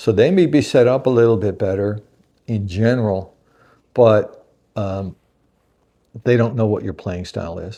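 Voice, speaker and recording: Against a quiet background, a man with a fairly low pitch and a dark, mellow tone talks at a moderate pace, with ordinary pitch variation and long, frequent pauses. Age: 60s. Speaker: guitar reviewer. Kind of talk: product review. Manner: casual, conversational with fillers.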